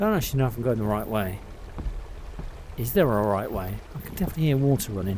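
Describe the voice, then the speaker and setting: Over noticeable background noise and audible room echo, a man talks very fast with lively intonation and long, frequent pauses. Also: medium pitch for a man. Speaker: VR gaming youtuber. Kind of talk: gameplay commentary.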